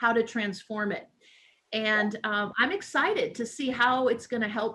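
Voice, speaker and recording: A woman speaks with an American accent and a fairly high pitch. It is a normal speaking voice with ordinary pitch variation. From Illinois, USA. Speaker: empowerment coach, minister, TV host. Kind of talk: interview answer.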